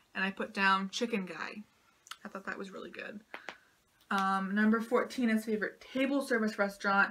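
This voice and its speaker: A woman with a normal speaking voice talks at a moderate pace, her fairly high pitch paired with fairly even intonation and big swings in loudness. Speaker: Disney vlogger. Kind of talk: casual Q&A vlog.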